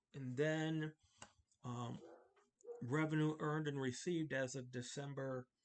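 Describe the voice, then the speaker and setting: Mumbling at a very slow pace, a man keeps his intonation fairly even. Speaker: accounting instructor. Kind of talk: tutorial. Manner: halting.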